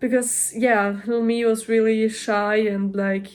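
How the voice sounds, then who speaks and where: In a German accent, a woman with a fairly high pitch talks at a fairly slow pace with fairly even intonation. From Germany or German-speaking region. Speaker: vlogger. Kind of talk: casual vlog monologue. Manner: hesitant, many fillers.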